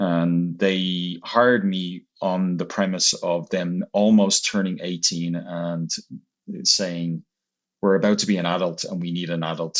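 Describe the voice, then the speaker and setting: Speaking with an Irish accent, a man uses a very deep, low pitch and fairly even intonation at a fairly slow pace. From Ireland. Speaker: marketing agency executive. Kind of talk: interview.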